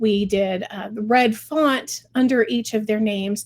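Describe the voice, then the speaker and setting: Here a woman speaks with ordinary pitch variation. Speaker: fundraising software client experience director. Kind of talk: tutorial webinar.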